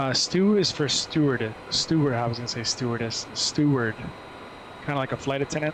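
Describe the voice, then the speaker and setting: Moderate-paced speech in a New Jersey accent, with noticeable background noise. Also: man, fairly high pitch for a man, ordinary pitch variation. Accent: New Jersey American English. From US, New Jersey. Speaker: flight sim streamer and flight attendant. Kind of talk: casual live stream chat. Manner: relaxed, hesitant with fillers.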